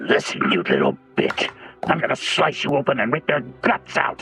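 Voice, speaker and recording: A man uses a put-on character voice, raspy and fairly high in pitch. He talks at a moderate pace over faint background music. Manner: scary, menacing.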